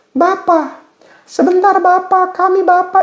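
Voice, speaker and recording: A squeaky, shrill put-on character voice at an extremely high pitch moves at a fairly slow pace. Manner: comical, pleading.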